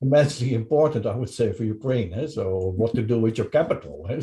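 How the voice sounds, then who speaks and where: A man's dark, mellow, somewhat breathy voice at a medium pitch, very fast pace, lively intonation and big swings in loudness, with a quiet background. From Netherlands. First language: Dutch. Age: 60s. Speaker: podcast interviewer. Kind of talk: interview. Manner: halting.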